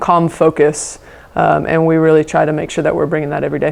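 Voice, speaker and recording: With a very deep, low pitch, a woman speaks at a fairly quick pace in monotone, flat intonation. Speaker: high school volleyball coach. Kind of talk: press conference answers. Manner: fast; many filler words (um, uh).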